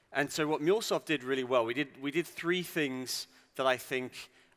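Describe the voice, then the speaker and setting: A man speaks in a bright, sharp tone with ordinary pitch variation, captured in a very clean recording with a silent background. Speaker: tech company founder giving keynote. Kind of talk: conference keynote. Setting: stage with audience. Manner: fast.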